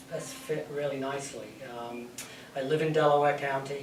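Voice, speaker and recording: A man with an English accent speaks at a moderate pace and a fairly high pitch. There is audible room echo and noticeable background noise. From England. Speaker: museum director and part-time college instructor. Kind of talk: panel talk. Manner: hesitant, many fillers.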